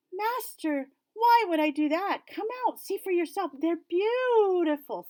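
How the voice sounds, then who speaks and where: A woman's put-on character voice, squeaky and extremely high-pitched, fairly slow with lively intonation, dry and close with no echo. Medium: read story.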